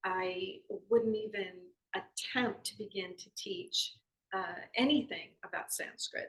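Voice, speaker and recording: A woman with an American accent at a very slow pace, with big swings in loudness. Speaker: yoga philosophy teacher. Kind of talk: spiritual lesson talk. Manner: halting, many fillers.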